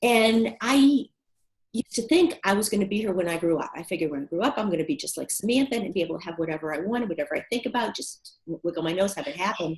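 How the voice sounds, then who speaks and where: A woman talks very fast with an American accent, her fairly high voice somewhat breathy. Her pitch swings very widely. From US, Boston. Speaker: business coach. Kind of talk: interview. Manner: animated.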